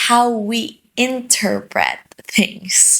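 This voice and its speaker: A woman talks with a Filipino accent. Her voice is high-pitched. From Philippines. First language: Filipino dialect (Tagalog or regional). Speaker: lifestyle vlogger. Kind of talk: personal vlog monologue.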